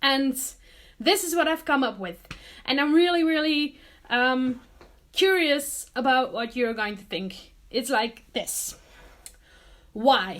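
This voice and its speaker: With a non-native accent, a woman speaks at a very slow pace and a high pitch, with lively intonation and long, frequent pauses. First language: not English. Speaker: vlogger and artist. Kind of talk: casual vlog talk to camera. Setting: home studio. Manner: hesitant, many fillers.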